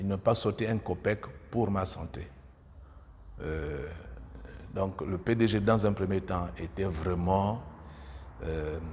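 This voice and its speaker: A man with a very deep, low pitch speaks very slowly and sounds somewhat breathy. He leaves long, frequent pauses, and his pitch varies in an ordinary way. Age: 60s. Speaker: politician. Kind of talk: interview. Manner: hesitant, many filler sounds.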